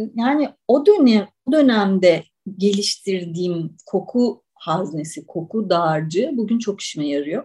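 Somewhat breathy and dark, mellow in tone, a woman speaks at a medium pitch and a very slow pace with very wide pitch swings and hardly any pauses. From Istanbul, Turkey. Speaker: writer and olive oil taster. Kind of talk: podcast interview.

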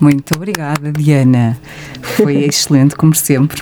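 With music in the background, a woman in a European Portuguese accent speaks at a moderate pace with a very deep, low pitch and fairly even intonation. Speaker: radio host. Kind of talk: radio interview. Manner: formal.

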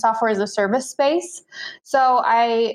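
A woman with an American accent speaks in a fairly high pitch. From US Midwest, central Illinois. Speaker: freelance content writer. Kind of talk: interview conversation.

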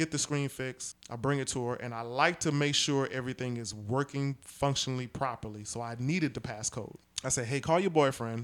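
Medium in pitch, a man talks at a fairly quick pace with ordinary pitch variation and hardly any pauses, on a very clean recording with a silent background. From Brooklyn, New York. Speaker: podcast host. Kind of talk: casual chat.

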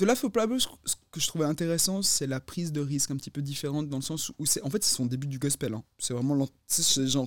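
Recorded with a dry, close sound and no echo, a man speaks very fast in a fairly high pitch. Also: ordinary pitch variation. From Neuchâtel, Switzerland. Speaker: podcast co-host. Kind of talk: casual chat.

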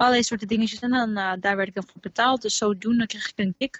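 A woman's fairly high, somewhat breathy voice, fairly quick pace and fairly even intonation. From Netherlands, Alphen aan de Rijn. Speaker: singer in a band. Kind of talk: casual chat. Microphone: connection dropped out.

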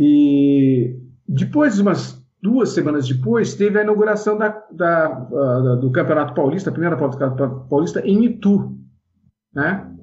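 A man talks at a moderate pace in a fairly high pitch, sounding somewhat breathy. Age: 60s. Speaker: former kart racer and event organizer. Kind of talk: interview. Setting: video call. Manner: halting.

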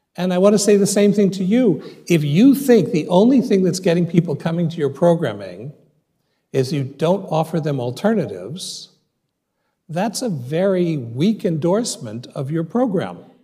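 In a room with audible echo, a man with a high pitch and a dark, mellow tone speaks at a moderate pace with very wide pitch swings. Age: 60s. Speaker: rabbi and dean of a rabbinical school. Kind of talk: audience Q&A; lecture.

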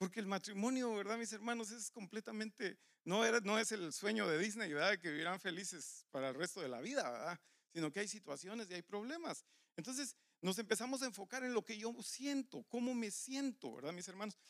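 Dry, close sound with no echo from a man with a high pitch, lively intonation and a fairly quick pace. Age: 50s. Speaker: pastor. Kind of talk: sermon.

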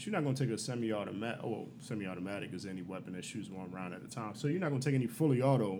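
Amid audible room echo, a man with a dark, mellow tone and medium pitch talks at a very fast pace, his loudness swinging widely. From Baltimore, US. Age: 30s. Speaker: military veteran and show promoter. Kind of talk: casual chat.

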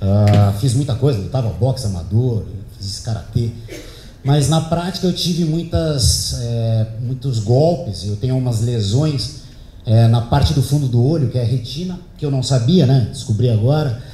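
A man with a medium pitch talks at a moderate pace with lively intonation. Noticeable background noise and audible room echo fill the recording. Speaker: speaker giving a talk at an event. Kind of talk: talk to an audience, storytelling. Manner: relaxed, conversational.

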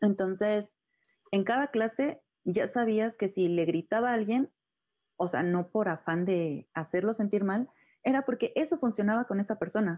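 Over a quiet background, a woman with a plain, everyday voice speaks at a moderate pace and medium pitch, with ordinary pitch variation. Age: 20s. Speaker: contemporary dancer. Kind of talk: interview.

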